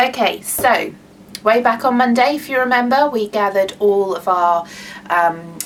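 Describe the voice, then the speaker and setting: A woman speaks with a British accent. Her intonation is lively. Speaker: craft workshop leader. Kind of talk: online workshop tutorial. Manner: halting, many fillers.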